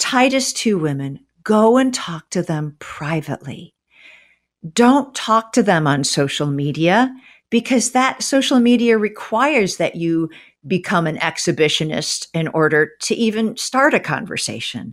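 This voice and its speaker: A woman's medium-pitched voice with very wide pitch swings at a fairly slow pace, in a very clean recording against a silent background. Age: 60s. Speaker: author and former English professor. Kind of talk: interview.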